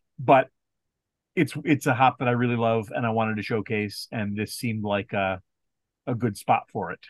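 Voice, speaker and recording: In a quiet background with a dry, close sound and no echo, a man talks at a medium pitch with ordinary pitch variation. He keeps a moderate pace with long, frequent pauses. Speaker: brewer. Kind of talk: interview.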